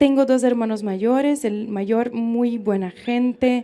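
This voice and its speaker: Speaking with a Brazilian accent, a woman uses a fairly high pitch and fairly even intonation. Her pace is very slow. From Brazil, interior of São Paulo state. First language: Portuguese (speaking Spanish). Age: 20s. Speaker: pro-life speaker, former feminist activist. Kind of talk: public lecture, personal testimony. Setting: live event with audience, in the sun.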